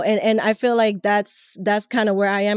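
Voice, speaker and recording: Speaking in a Spanish accent at a moderate pace, a woman's fairly high voice comes across dry and close with no echo. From Latin America. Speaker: podcast co-host. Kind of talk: casual chat. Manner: halting, many repetitions.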